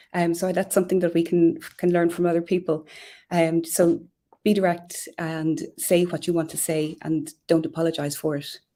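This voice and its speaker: Over a silent background on a very clean recording, a voice with an Irish accent and a dark, mellow tone talks at a moderate pace in a flat monotone. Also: woman, fairly low pitch for a woman. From Ireland. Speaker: communications professional. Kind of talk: live stream interview.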